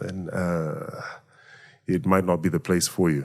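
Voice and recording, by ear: In a very clean recording with a silent background, a man speaks at a low pitch with a slightly mellow tone.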